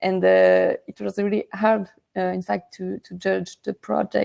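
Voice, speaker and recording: The speaker has a French accent. The sound is dry and close, with no echo. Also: woman. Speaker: project co-founder. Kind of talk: speech at an online awards ceremony. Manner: halting, many fillers.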